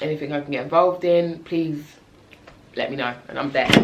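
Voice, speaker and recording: There is audible room echo as a woman talks at a fairly quick pace. Her intonation is monotone and flat. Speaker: community interest company founder, vlogger. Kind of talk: casual talk to camera. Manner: halting, many fillers.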